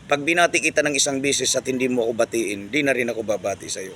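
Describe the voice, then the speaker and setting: A man talks at a fairly quick pace with ordinary pitch variation and a medium pitch, over noticeable background noise. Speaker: vlogger. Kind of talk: casual monologue vlog. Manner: loud; halting with many fillers.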